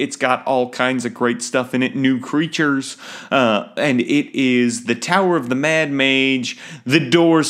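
An unforced reading voice is heard. Pitch rises and falls in an ordinary way.

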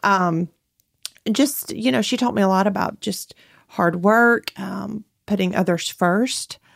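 With an Alabama accent, a woman talks at a fairly slow pace. The recording is very clean, with a silent background. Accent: US Southern (Alabama). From northern Alabama, Limestone County. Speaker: boutique owner and mother. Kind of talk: casual interview chat.

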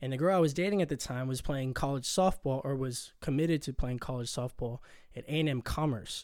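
A man with an American accent has an ordinary speaking voice, speaking at a fairly quick pace with ordinary pitch variation on a very clean recording with a silent background. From Corpus Christi, Texas. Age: 20s. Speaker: newlywed husband. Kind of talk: casual chat.

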